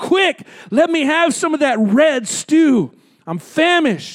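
A man puts on a character voice at an extremely high pitch, growling as he goes. He delivers it at a fairly slow pace.

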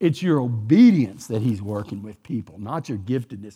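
Speaking with a Texan accent at a moderate pace, a man has a dark, mellow tone and very wide pitch swings. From Texas. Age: 60s. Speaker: guest preacher. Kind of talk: sermon. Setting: church.

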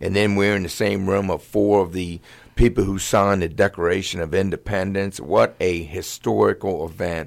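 The man has a very deep, low pitch and fairly even intonation at a moderate pace. The recording is very clean, with a silent background. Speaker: retired football head coach. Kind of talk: casual interview chat. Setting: studio.

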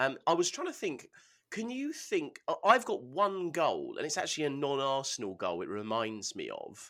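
Recorded very cleanly against a silent background, a man with an English accent talks at a moderate pace. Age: 30s. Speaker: football podcast co-host. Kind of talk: casual chat.

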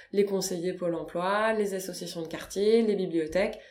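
Her voice sits at a medium pitch with fairly even intonation, and the room adds an audible echo. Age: 30s. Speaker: deputy director of a digital inclusion nonprofit. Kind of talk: interview. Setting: nonprofit's offices.

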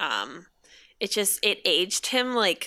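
On a very clean recording with a silent background, a woman talks at a very slow pace. Her tone is playful, with vocal fry. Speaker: guest, Twitter comedy account owner. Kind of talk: casual chat. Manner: laughs often, playful.

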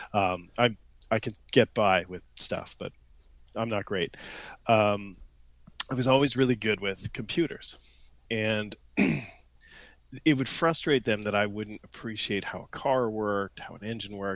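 A man with a southern Ontario accent speaks with big swings in loudness on a very clean recording with a silent background. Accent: Canadian, southern Ontario. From London, Ontario, Canada. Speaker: guest, randonneur and IT professional. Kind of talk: casual chat, podcast interview.

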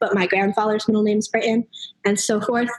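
A woman with a normal speaking voice speaks at a fairly high pitch with fairly even intonation. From US Northeast (New Hampshire). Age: young. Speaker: college student. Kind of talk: interview. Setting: remote call from dorm lounge.

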